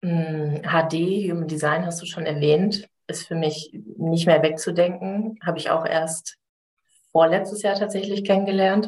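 A woman's fairly low pitch at a fairly slow pace, with fairly even intonation. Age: 30s. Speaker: life coach. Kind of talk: casual interview.

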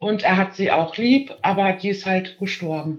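At a fairly slow pace with ordinary pitch variation, this is an unremarkable speaking voice. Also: woman. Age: 30s. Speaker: caller. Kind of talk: testimony.

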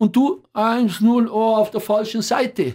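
A man with a Bavarian accent, high pitch and fairly slow pace. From Upper Bavaria, Rosenheim area. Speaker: football commentator and newspaper editor. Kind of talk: casual interview chat.

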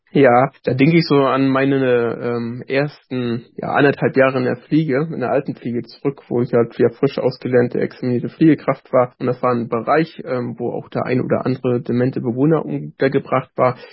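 A man with a plain, everyday voice talks at medium pitch and a fairly quick pace. His intonation is fairly even, with hardly any pauses. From northern Germany, Rostock. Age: 30s. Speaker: author and former elderly-care worker, care manager. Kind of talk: casual interview chat.

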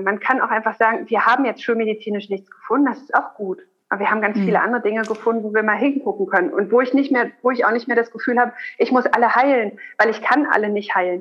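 At a fairly quick pace, a woman with an unremarkable speaking voice talks at a fairly high pitch with ordinary pitch variation. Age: 30s. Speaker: gynecologist and lactation consultant. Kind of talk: interview.

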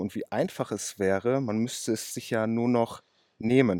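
At a moderate pace, a man with a medium pitch and fairly even intonation speaks in a very clean recording with a silent background. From western Germany, Ruhr area (Oberhausen). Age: 30s. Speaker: car mechanic and day trader. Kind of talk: casual interview. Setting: outdoors.

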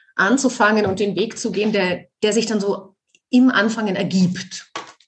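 A woman talks at a fairly slow pace with a medium pitch. Her voice is somewhat breathy and her intonation fairly even. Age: 50s. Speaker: podcast host, actress and yoga teacher. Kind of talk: casual chat. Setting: video call.

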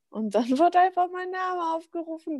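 Over a silent background in a very clean, dry, close recording with no echo, a woman with a dark, mellow tone speaks at a moderate pace and with lively intonation. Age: 20s. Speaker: bodybuilding figure athlete. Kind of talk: casual chat. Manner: animated.

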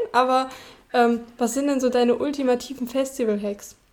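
The woman's voice is high-pitched and her intonation fairly even. She speaks at a moderate pace. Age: 20s. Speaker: podcast guest. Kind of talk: casual chat. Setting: remote call.

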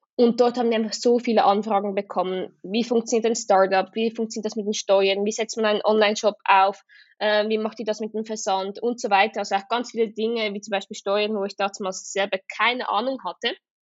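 A woman speaks with a Swiss German accent at a fairly high pitch. Her pace is fairly quick and her intonation monotone and flat. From Switzerland. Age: 20s. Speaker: entrepreneur, social media agency co-founder. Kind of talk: casual interview. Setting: remote recording.

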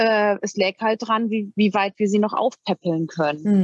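A woman speaks at medium pitch and a moderate pace in an unremarkable speaking voice. The sound is dry and close, with no echo. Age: 40s. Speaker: cat owner. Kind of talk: interview.

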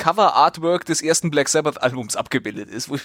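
A man speaks at a fairly high pitch. The recording is very clean with a silent background, and the sound is dry and close with no echo. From central Hesse, Germany. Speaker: podcast co-host. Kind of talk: casual comedic news talk.

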